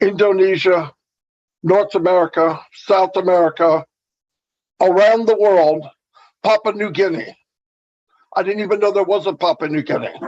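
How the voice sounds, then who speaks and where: The speaker goes at a moderate pace, broken by long, frequent pauses. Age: 60s. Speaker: webinar speaker, business promoter. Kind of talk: motivational talk. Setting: online webinar. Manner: animated.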